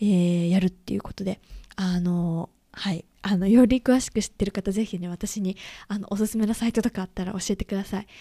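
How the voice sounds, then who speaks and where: Recorded very clean with a silent background, dry and close with no echo, a woman of medium pitch speaks at a fairly quick pace in a dark, mellow tone with fairly even intonation. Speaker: podcast host. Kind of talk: personal monologue. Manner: casual, many fillers.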